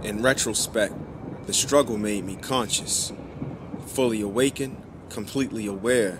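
Against noticeable background noise, a man of medium pitch speaks at a moderate pace with fairly even intonation and long, frequent pauses. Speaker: spoken word poet. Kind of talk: spoken word poetry.

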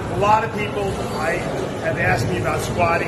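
Loud background noise runs under the recording. A man talks at a fairly quick pace. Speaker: fitness coach. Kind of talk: tutorial. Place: gym. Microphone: phone near.

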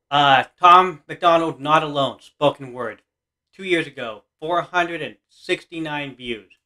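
A man with a fairly high voice speaks at a very slow pace against a quiet background. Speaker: reaction video youtuber. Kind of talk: reaction video, casual chat. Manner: excitable, gushing. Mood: enthusiastic, supportive. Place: home room. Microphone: webcam.

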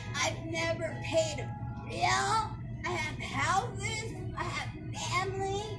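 The speech moves at a very slow pace. Clear music plays in the background. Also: woman. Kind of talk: heated argument taunts. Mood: mocking, confrontational. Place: shop. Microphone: camera far.

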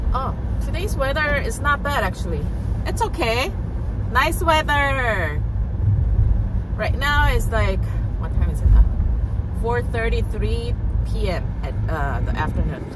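A woman speaks at a fairly slow pace with long, frequent pauses. Loud background noise is present, though the sound is dry with no echo. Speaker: vlogger. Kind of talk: casual vlog chat. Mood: cheerful, admiring. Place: car. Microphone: phone near.

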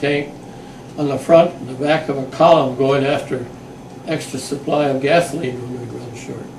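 Over noticeable background noise, a man talks at a moderate pace in a monotone, flat delivery. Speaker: WWII veteran. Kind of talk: oral history interview answer. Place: home room. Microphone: camera far.

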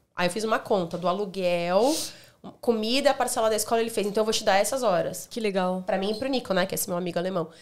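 This woman talks at a very fast pace with ordinary pitch variation. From Brazil. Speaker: hospitality manager; podcast guest. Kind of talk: casual chat. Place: home room. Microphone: studio mic.

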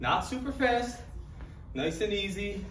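Audible room echo and light background noise surround a man who speaks at a fairly slow pace with fairly even intonation. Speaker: fitness trainer. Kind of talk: tutorial. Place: gym. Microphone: camera far.

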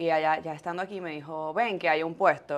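The woman's voice sits at a fairly low pitch. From Venezuela, Maracay and Valencia; Venezuela. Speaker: podcaster and fitness influencer; podcaster, fitness influencer. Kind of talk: casual interview. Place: studio. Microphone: lapel.

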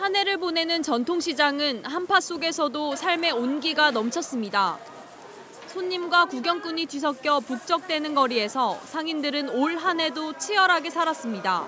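Raising and projecting her high voice, a woman speaks at a moderate pace with lively intonation against noticeable background noise. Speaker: news reporter. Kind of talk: scripted narration. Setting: outdoors.

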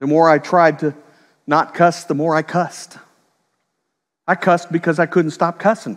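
Speaking at a moderate pace with long, frequent pauses, a man with a high pitch keeps a fairly even intonation over a quiet background. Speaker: preacher. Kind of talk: sermon. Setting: church. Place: church. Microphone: headset.

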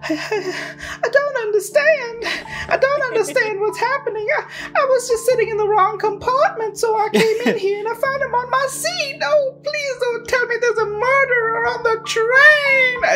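Against clear background noise, a female-sounding voice does a put-on character voice at an extremely high pitch and a moderate pace. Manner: distraught, pleading.

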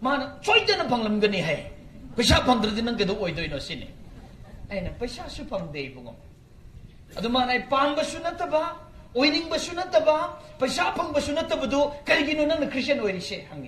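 In a room with audible echo and light background noise, a man talks at a fairly quick pace in an extremely high pitch, his tone animated, his intonation lively and his loudness swinging widely. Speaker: preacher. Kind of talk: sermon. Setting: church. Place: stage. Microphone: camera far.

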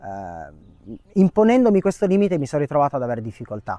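A man speaks very fast in a dark, mellow tone with very wide pitch swings, the sound dry with no echo over a quiet background. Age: 30s. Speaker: short-term rental manager; interview guest. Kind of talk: testimony. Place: garden. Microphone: lapel.

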